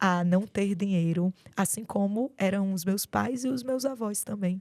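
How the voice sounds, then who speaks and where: The speaker moves at a very slow pace with lively intonation. The recording is very clean, with a silent background. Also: woman. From Brazil, Rio Grande do Norte interior. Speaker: doctor and mentor. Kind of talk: podcast interview.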